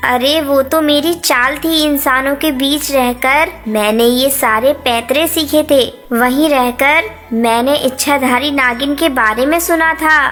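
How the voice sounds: A female-sounding cartoonish character voice, high-pitched and fairly slow, plays over clear background noise.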